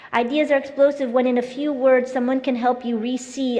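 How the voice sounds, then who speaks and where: The voice has fairly even intonation, with audible room echo. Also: woman. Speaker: keynote speaker, education activist. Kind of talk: conference keynote speech. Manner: fast; formal.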